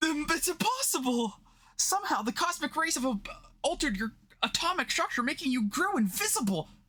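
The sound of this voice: A man uses a put-on character voice at an extremely high pitch, bright and sharp in tone. He talks at a fairly quick pace with big pitch swings.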